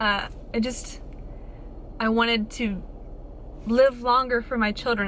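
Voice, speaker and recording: A woman talks in an animated tone with a fairly high pitch over noticeable background noise. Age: 20s. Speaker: fitness influencer / vlogger. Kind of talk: casual vlog monologue.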